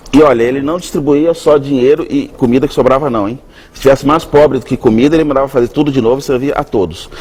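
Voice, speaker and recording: A man at a very fast pace and fairly high pitch, over noticeable background noise. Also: ordinary pitch variation. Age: 60s. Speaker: chef. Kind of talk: TV interview.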